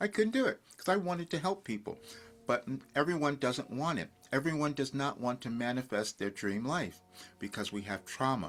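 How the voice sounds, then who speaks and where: The voice makes very wide pitch swings. Music plays in the background. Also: man, medium pitch for a man, moderate pace. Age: 70s. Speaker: spiritual coach and channeler. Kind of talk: casual talk to camera.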